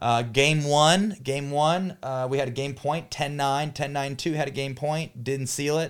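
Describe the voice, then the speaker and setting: An ordinary speaking voice from a man, fairly high in pitch, at a fairly slow pace with hardly any pauses and fairly even intonation, on a very clean recording with a silent background. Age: 30s. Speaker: pickleball pro and podcast host. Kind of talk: casual chat.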